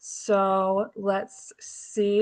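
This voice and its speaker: Loud and with a bright, sharp tone, a woman speaks at a medium pitch. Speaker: livestream co-host and band team member. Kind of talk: casual chat on a livestream. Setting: video livestream from a barn. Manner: loud, carrying voice.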